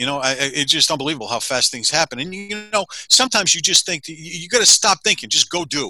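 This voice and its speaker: A man with an American accent speaks with lively intonation, a bright, sharp tone and big swings in loudness. The sound is dry and close with no echo, on a very clean recording with a silent background. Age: 60s. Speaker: financial advisor. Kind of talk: interview.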